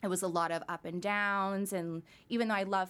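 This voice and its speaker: In a very clean recording with a silent background, a woman with a plain, everyday voice speaks at a medium pitch with fairly even intonation. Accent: Canadian. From Surrey, British Columbia, Canada. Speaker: candle business owner. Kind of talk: casual interview chat.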